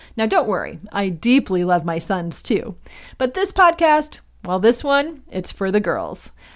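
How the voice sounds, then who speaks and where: Very wide pitch swings mark this fairly slow speech in a Midwestern American accent, heard in a very clean recording with a silent background. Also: woman, fairly high pitch for a woman. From US Midwest, Michigan. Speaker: podcast host, mother. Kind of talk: scripted monologue. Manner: animated.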